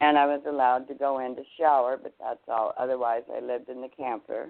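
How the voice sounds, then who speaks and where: A woman with a very deep, low pitch speaks fairly quickly in a monotone, flat intonation, her loudness swinging widely. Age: 70s. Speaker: domestic violence survivor and advocate. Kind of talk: testimony.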